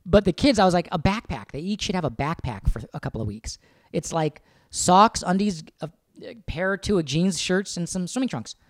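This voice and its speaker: The voice is loud with lively intonation. The sound is dry and close, with no echo. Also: man, high pitch for a man, moderate pace. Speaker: podcast co-host, husband. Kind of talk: casual chat.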